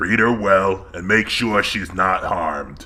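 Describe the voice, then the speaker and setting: With light background noise behind him, a man uses a put-on character voice, fairly low in pitch and at a fairly slow pace. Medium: read story. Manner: regal, measured.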